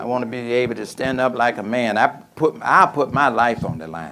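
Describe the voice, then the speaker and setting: Medium-pitched man at a moderate pace, over noticeable background noise. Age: 70s. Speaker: former minister, business speaker. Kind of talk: talk at a mosque program with Q&A. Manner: conversational, informal.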